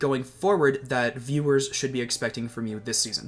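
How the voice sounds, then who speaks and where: With music playing in the background, a man speaks at a moderate pace in a fairly high pitch. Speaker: interviewer. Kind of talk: interview. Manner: stumbles over words.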